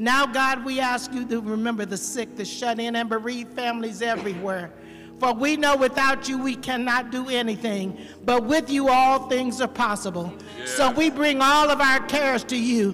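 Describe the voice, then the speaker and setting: A woman with a high pitch and fairly even intonation talks at a moderate pace over light background noise. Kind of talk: spoken prayer. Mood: earnest, reverent. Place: church. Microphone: handheld.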